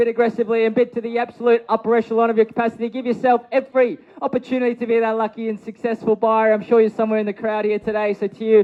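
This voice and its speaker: At a very fast pace, a man talks in an energetic tone with a high pitch. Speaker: real estate auctioneer. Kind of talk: live property auction call. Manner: energetic, engaging, projecting to a crowd.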